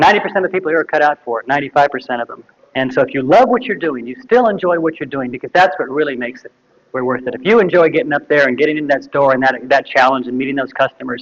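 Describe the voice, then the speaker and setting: A man talks at a very fast pace. His voice is fairly high-pitched, with ordinary pitch variation. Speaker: natural food retail consultant. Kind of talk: workshop lecture.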